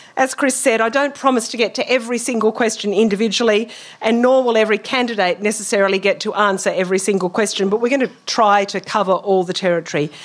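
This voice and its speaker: A woman with an Australian accent talks at a fairly quick pace, her fairly high pitch moving with ordinary variation. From rural New South Wales, Australia. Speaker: debate moderator, journalist. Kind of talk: debate moderation.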